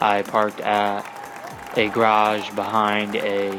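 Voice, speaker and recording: Someone with an American accent speaks in a flat monotone over noticeable background noise. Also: man. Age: 20s. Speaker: sports podcast host. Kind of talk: solo podcast monologue.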